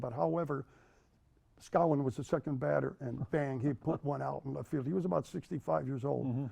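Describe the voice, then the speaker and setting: Very fast and full of lively intonation, a man speaks at medium pitch in a dark, mellow tone with vocal fry. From Rochester, New York. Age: 80s+. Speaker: senior softball player and coach. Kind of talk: interview answer.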